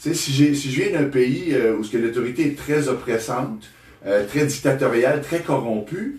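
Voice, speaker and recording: A man speaks with a Quebec accent. Noticeable background noise runs behind him. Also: medium pitch for a man, ordinary pitch variation, moderate pace. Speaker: therapist. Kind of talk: interview. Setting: studio. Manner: halting, many repetitions.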